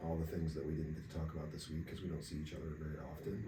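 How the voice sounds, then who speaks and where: A quiet, somewhat breathy voice with a dark, mellow tone and audible room echo. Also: man. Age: 30s. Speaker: podcast co-host. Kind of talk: casual chat.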